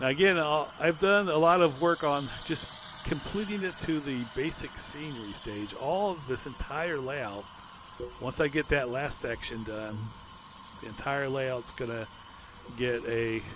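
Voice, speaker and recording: The speaker talks at a fairly slow pace with lively intonation over noticeable background noise. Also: man, fairly high pitch for a man. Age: 60s. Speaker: model railroad hobbyist. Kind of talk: narrated layout tour. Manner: casual, with filler words.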